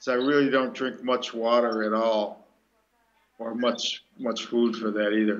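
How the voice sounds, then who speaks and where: A man with an American accent at a very slow pace. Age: 60s. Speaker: breatharian speaker. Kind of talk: Q&A talk.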